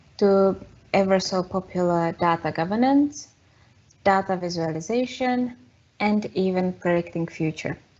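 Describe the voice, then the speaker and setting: A woman with a Czech accent, medium in pitch, at a fairly slow pace, with ordinary pitch variation. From Czech Republic. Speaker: data consultant. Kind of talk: webinar presentation. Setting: online webinar.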